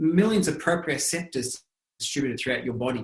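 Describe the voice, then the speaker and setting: A man's somewhat breathy voice with very wide pitch swings and an Australian accent. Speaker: lifestyle medicine researcher. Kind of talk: interview answer.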